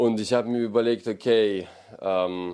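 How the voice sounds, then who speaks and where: A man speaks at a very slow pace with a fairly low pitch. His tone is dark and mellow, and his intonation is monotone and flat. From Ukraine. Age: 30s. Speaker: combat sports event promoter. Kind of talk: casual interview. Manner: direct.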